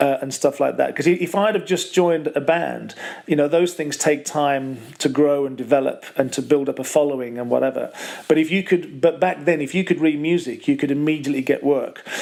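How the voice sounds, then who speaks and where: A man at a fairly quick pace, fairly high in pitch, with fairly even intonation and noticeable background noise. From West Midlands, Wolverhampton. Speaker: professional bass player. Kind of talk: interview. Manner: halting, many repetitions.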